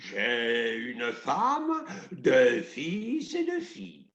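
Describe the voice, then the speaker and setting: A man performs in a put-on character voice. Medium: solo performance. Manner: commanding, haughty.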